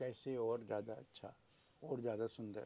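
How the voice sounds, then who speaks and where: Fairly even in intonation, this man's voice carries a dark, mellow tone. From Madhya Pradesh, India. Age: 70s. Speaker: poet. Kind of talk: interview answer.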